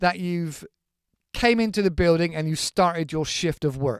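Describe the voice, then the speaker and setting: A man with a British accent and a high pitch speaks with ordinary pitch variation, the sound dry and close with no echo on a very clean recording with a silent background. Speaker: English teacher. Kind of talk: English lesson podcast. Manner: casual, conversational.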